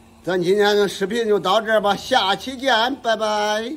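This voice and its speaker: Talking at a fairly slow pace, a man's voice sits high in pitch. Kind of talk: casual vlog chat. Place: workshop. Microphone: phone near.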